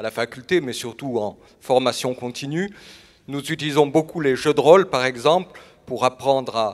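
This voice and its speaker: Here is a man with a normal speaking voice at medium pitch. His pitch varies in an ordinary way, and his pace is moderate. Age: 60s. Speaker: doctor. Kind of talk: personal statement on stage.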